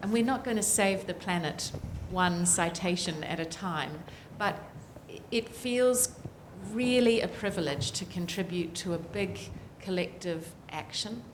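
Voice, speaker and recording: A woman with a New Zealand accent speaks at a medium pitch and a fairly slow pace, with long, frequent pauses, audible room echo and noticeable background noise. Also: ordinary pitch variation. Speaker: political scientist, climate report author. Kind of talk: panel discussion.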